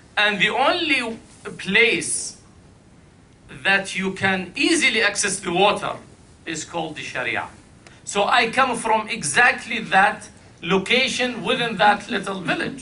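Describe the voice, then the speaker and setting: Speaking in a raised, projected voice with an Arabic accent, a man with a high pitch moves at a fairly slow pace with long, frequent pauses and lively intonation, and audible room echo surrounds him. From Iraq. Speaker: panel speaker. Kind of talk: panel talk.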